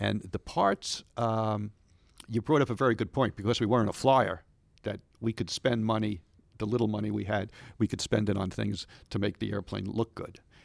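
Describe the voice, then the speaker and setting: With an American accent, a man speaks at a moderate pace and a fairly low pitch. His intonation is fairly even, with vocal fry. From Long Island, New York. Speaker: museum special projects coordinator, aviation historian. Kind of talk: interview, storytelling about history. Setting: studio.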